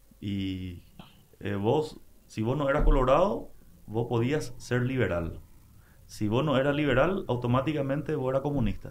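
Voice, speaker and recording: A man at a fairly slow pace, lively intonation, long and frequent pauses, and audible room echo. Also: medium pitch for a man. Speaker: broadcaster and political scientist. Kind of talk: casual interview.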